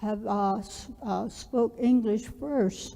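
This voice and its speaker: Speaking very slowly with an Southwestern US accent, a woman uses a fairly high pitch, fairly even intonation and a dark, mellow tone. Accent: Navajo-accented English. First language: Navajo. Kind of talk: orientation presentation. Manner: halting, many fillers.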